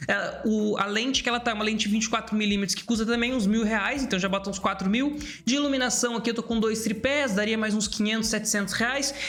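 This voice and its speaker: Delivered at a very fast pace with hardly any pauses and fairly even intonation, the speech comes with audible room echo and noticeable background noise. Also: man, high pitch for a man. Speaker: YouTube creator coach. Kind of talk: commentary reacting to video clips. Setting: home studio with camera setup. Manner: fast, occasionally stumbling speech.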